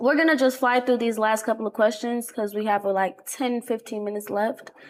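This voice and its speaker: In an ordinary speaking voice, a woman with an American accent talks at a fairly quick pace and fairly high pitch, keeping her intonation fairly even. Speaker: podcast host. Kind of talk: interview.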